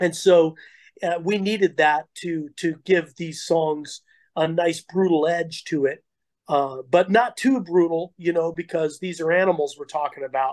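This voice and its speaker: This man has a high pitch and a fairly slow pace. His intonation is fairly even, with a dry, close sound and no echo. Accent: American. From Colorado. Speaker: heavy metal vocalist. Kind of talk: interview.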